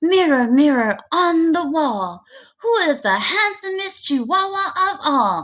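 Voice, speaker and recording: The speaker puts on a character voice. The pace is fairly slow. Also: woman, extremely high pitch for a woman. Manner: vain, boastful.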